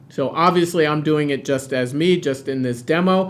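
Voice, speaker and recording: This man has an unremarkable speaking voice, fairly high in pitch. He keeps a moderate pace with ordinary pitch variation. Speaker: product demo presenter. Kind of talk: product demo webinar. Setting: webinar on camera.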